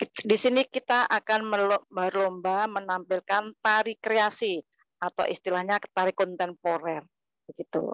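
A woman speaks with fairly even intonation and very even loudness, in a dry sound with no echo against a quiet background. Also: fairly slow pace. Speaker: kindergarten teacher and dancer; kindergarten teacher. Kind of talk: online presentation. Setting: video call. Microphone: lapel.

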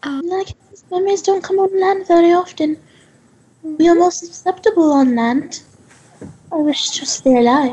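In a put-on character voice, a female-sounding speaker talks at an extremely high pitch and a moderate pace, with long, frequent pauses. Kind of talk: in-character interview. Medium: actual play. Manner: earnest, calm, slightly formal and defensive.

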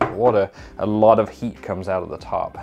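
Faint music plays in the background as a man talks at a fairly low pitch. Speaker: overlanding DIY creator. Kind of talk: tutorial. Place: workshop.

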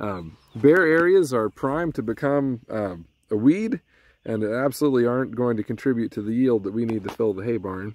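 Lively intonation at a moderate pace, in a dry sound with no echo. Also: man. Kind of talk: tutorial. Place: open country. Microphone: phone near.

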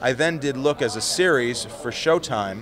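The speaker is a man. Light background noise can be heard. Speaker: interviewee. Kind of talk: interview answer. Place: hall. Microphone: handheld.

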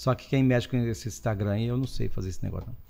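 A man talking at a very fast pace. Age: 60s. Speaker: priest; guest priest. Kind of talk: casual chat. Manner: animated. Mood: cheerful, joking. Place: studio. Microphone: studio mic.

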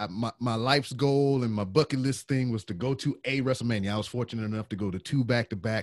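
Delivered at a very fast pace with hardly any pauses, a voice with a Southern US accent sounds dry with no echo against a quiet background. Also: man, medium pitch for a man, ordinary pitch variation. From US South. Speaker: podcaster and military veteran; podcast host. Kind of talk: casual chat. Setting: video call. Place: home room.

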